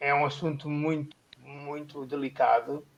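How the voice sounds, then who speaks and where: The voice belongs to a man and sits at a fairly high pitch. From Portugal. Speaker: pastor. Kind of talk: testimony. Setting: online live stream.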